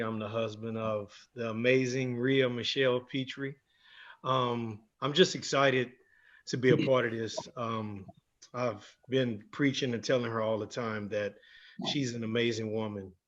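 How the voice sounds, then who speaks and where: In a plain, everyday voice, a man speaks fairly slowly at a medium pitch with fairly even intonation. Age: 40s. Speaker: entertainer, panelist. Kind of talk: panel introduction.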